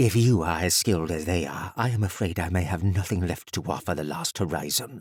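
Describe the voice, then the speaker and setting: In a put-on character voice, a man talks with a very deep, low pitch at a fairly quick pace, with hardly any pauses. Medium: read story. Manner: formal, stiff, dignified.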